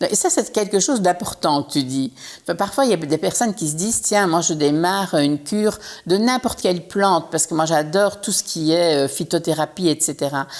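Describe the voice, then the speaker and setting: A woman's fairly low voice, an ordinary speaking voice, with lively intonation at a fairly quick pace. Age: 60s. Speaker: entrepreneur. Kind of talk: casual chat.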